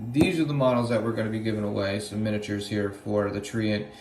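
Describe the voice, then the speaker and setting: Very fast speech from a man, with audible room echo and noticeable background noise. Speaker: gaming channel team member. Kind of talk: promotional video message.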